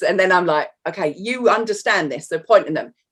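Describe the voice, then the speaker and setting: This woman speaks with a London accent at a medium pitch. Her pitch varies in an ordinary way. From North London, England. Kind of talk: casual chat. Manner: animated.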